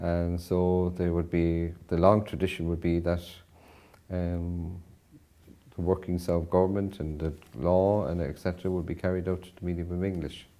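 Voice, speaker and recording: A man's very deep, low voice in a western Irish accent, dark and mellow, with monotone, flat intonation. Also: moderate pace. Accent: Irish (west of Ireland). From Ireland, Connemara, County Galway. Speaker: professor. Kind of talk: interview.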